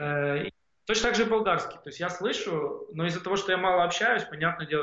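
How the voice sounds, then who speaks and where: A man talks at a fairly quick pace. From Ukraine, Odesa region (Bolhrad). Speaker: tech entrepreneur. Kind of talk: interview conversation.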